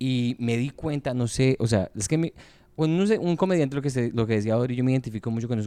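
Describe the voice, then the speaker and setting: Talking at a very fast pace, a man with a medium pitch uses lively intonation in a dark, mellow tone. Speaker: podcast host and comedian. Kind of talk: casual chat.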